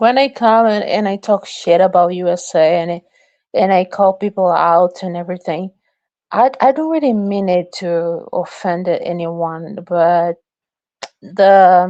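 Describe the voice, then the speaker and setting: Speaking at a fairly slow pace with a strong non-native accent, a woman keeps a medium pitch with ordinary pitch variation. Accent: strong foreign. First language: Portuguese. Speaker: livestream guest. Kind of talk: heated debate. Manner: halting.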